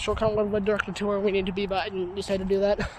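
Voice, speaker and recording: The speech races at a very fast pace over noticeable background noise. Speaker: vlogger. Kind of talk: casual vlog narration. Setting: outdoors in a forest. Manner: animated.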